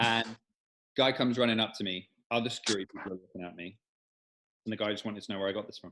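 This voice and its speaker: The speech comes at a very fast pace in a bright, sharp tone, with fairly even intonation, big swings in loudness, and long, frequent pauses. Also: man, fairly low pitch for a man. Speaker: real estate agent and podcast co-host. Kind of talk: casual anecdote.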